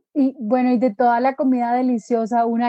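Captured with a dry, close sound and no echo, a woman speaks at a high pitch with a dark, mellow tone. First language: Spanish (speaking German). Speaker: podcast host. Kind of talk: interview.

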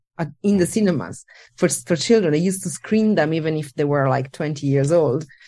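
In an Italian accent, a woman with a very deep, low pitch and a dark, mellow tone talks at a fairly quick pace with ordinary pitch variation against a quiet background. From Italy. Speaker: animator. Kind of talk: interview. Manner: halting.

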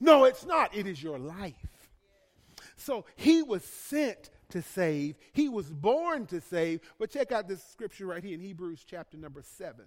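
In a Southern US accent, a man with a high voice talks at a fairly slow pace, his pitch swinging very widely and his loudness rising and falling a lot. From US South, Birmingham, Alabama. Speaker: pastor. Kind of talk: sermon. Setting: church. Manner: halting.

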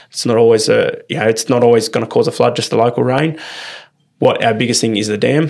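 Speaking at a very fast pace, a man delivers his words with an Australian accent. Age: 20s. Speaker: turf farmer. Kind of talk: casual interview. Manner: halting, many fillers.

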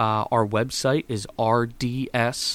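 A man is speaking. He has an American accent. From central Pennsylvania, US. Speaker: paving business owner. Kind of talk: interview. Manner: halting, many fillers.

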